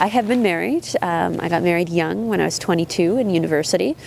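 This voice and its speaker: A fairly quick woman's voice with a Canadian accent over noticeable background noise. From Prince Edward Island, Canada. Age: 30s. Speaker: prosecutor. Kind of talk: documentary interview. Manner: hesitant, many fillers.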